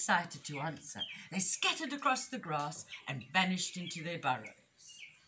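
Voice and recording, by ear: Someone reads aloud here in a natural voice.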